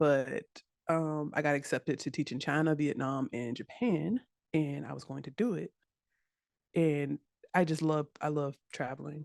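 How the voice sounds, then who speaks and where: In an American accent, the speaker talks at a moderate pace with ordinary pitch variation and long, frequent pauses, the sound dry and close with no echo against a quiet background. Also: woman, very deep, low pitch for a woman. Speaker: web developer and instructor. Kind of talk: interview chat.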